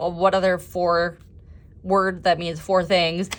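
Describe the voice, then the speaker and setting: A strong Minnesotan accent at a moderate pace. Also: woman. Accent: thick Minnesota. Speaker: planner designer and YouTuber. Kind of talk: tutorial walkthrough. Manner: casual, chatty.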